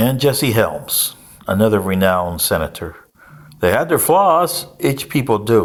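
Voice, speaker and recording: With vocal fry and very even loudness, a man speaks at a medium pitch and a fairly slow pace, his pitch swinging very widely. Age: 60s. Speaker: political commentator. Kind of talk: casual monologue.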